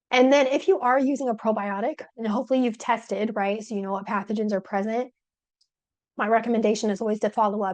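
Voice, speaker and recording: A woman talks at a very fast pace. Her voice is fairly high, with fairly even intonation. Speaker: probiotics researcher giving a talk. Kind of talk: webinar presentation.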